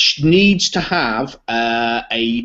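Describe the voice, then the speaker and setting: Speaking very slowly with a British accent, a man uses a medium pitch and ordinary pitch variation. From Britain. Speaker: software product co-creator. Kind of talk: casual interview.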